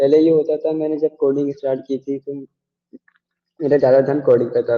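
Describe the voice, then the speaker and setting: A man with monotone, flat intonation. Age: young. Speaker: student. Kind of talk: interview.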